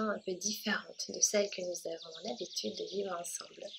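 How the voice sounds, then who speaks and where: A woman talks with fairly even intonation. Noticeable background noise is present. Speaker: meditation guide. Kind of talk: guided meditation. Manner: slow, hesitant.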